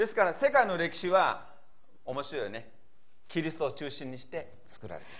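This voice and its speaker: A man talks at a high pitch and moderate pace, with very wide pitch swings and big swings in loudness. Audible room echo and noticeable background noise fill the recording. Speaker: pastor. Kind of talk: sermon.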